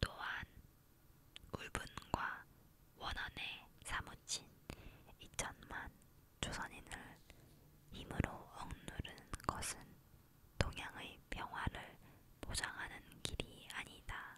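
Whispering at a very slow pace with long, frequent pauses comes through over noticeable background noise. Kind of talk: ASMR reading of a historical declaration, whispered soft reading. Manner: whispered, soft-spoken.

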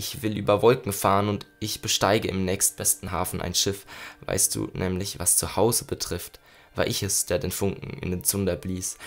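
A man speaks in an ordinary speaking voice, fairly low in pitch. His intonation is fairly even and his pace moderate. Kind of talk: poetry slam, spoken-word performance of a written poem. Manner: intense and rhythmic, building from hushed, melancholy lines to angry, urgent bursts; reflective, with pauses and repeated refrains.

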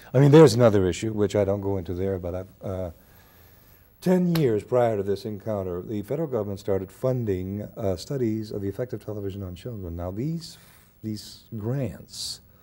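A man speaks at a fairly quick pace with a dark, mellow tone. His voice sits fairly low, with ordinary pitch variation. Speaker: interview guest, actor. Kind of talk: interview answer. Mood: earnest, building indignation. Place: studio.

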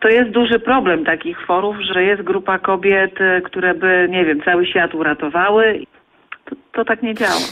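At a moderate pace, a woman uses a plain, everyday voice with medium pitch and ordinary pitch variation. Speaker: stork webcam chat fan. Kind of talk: casual radio interview.

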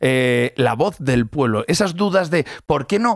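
On a quiet background, a man's fairly high voice moves through very wide pitch swings, with a dry sound and no echo. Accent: Castilian. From Castile, Spain. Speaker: radio host. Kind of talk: casual radio chat. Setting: radio studio. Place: studio. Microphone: studio mic.

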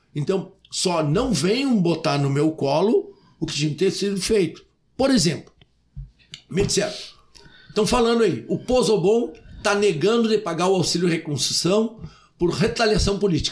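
High-pitched male voice, animated and lively in intonation, at a moderate pace with very even loudness and long, frequent pauses. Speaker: mayor. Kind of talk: interview. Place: studio. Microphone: studio mic.

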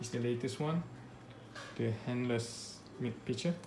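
Speech at a fairly slow pace comes through noticeable background noise. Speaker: home coffee enthusiast. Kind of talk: casual talk to camera. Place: home room. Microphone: phone near.

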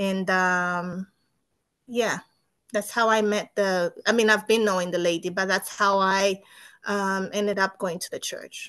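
Against a quiet background, a woman with a bright, sharp tone speaks at a fairly slow pace with monotone, flat intonation. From Zambia. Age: 30s. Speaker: nurse; interviewee. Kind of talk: testimony. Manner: halting. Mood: calm, reflective. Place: home room. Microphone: video call.

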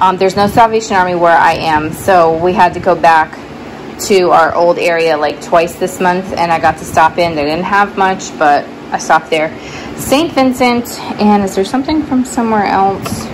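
Through noticeable background noise, a woman talks with ordinary pitch variation. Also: moderate pace. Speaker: thrift reseller. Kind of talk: casual vlog chat. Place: garage. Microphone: phone near.

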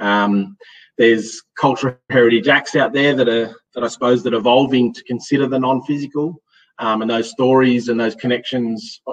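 Speaking at a fairly quick pace, a man uses fairly even intonation in an Australian accent. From Australia, Western Sydney. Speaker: hydrogeologist and associate professor; presenter. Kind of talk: audience Q&A; lecture. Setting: stage with live and online audience. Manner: halting, with many fillers.

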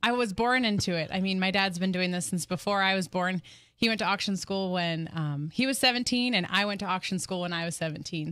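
A woman's voice with ordinary pitch variation at a moderate pace, over a quiet background. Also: dry sound with no echo. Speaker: auctioneer. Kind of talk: interview answer. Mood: friendly, relaxed. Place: studio. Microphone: studio mic.

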